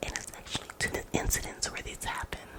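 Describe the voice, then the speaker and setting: Over noticeable background noise comes a whisper moving at a fairly quick pace. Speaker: ASMR artist. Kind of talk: ASMR story time. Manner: soft-spoken; casual, rambling.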